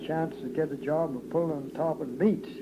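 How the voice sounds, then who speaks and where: A man speaks in an American accent. Background noise is noticeable throughout. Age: 80s+. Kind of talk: oral history interview. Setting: home tape recording.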